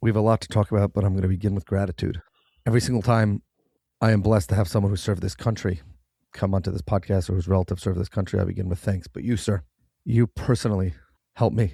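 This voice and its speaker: In a very clean recording with a silent background, a man speaks very fast in a fairly low pitch, his tone dark and mellow, somewhat breathy, with fairly even intonation and a dry, close sound free of echo. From New York City (Manhattan). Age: 30s. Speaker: podcast host. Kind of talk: interview podcast.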